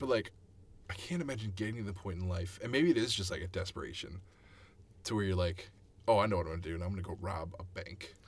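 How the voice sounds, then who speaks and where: A man with a fairly low pitch and an American accent, somewhat breathy, very fast yet with long, frequent pauses, ordinary pitch variation and audible room echo. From Chicago suburbs, Illinois. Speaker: musician. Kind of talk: casual chat.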